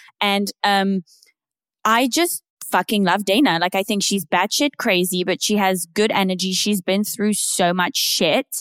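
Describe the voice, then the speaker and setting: A woman's medium-pitched voice in a British accent, fairly slow, with ordinary pitch variation and very even loudness, dry and close with no echo, on a very clean recording with a silent background. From Britain. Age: 30s. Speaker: podcast host. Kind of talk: casual chat.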